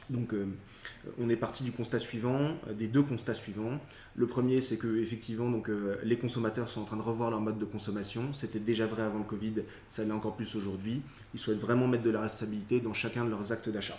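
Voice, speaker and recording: In a dark, mellow tone, the speaker moves at a fairly quick pace with monotone, flat intonation. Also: man, medium pitch for a man. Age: 30s. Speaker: entrepreneur. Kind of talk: interview. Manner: halting.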